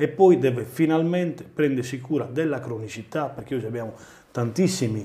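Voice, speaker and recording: The voice is somewhat breathy, with a moderate pace and ordinary pitch variation. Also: man. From Sardinia. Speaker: mayor and regional election candidate; guest. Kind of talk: political interview. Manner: halting, repeats words. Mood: earnest, persuasive. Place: studio. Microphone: lapel.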